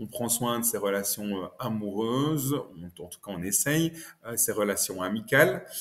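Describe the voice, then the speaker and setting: With a Belgian accent, a man speaks at a fairly slow pace and ordinary pitch variation. His loudness swings widely. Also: medium pitch for a man. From Belgium. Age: 30s. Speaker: financial education expert. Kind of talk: podcast interview. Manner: hesitant, many fillers.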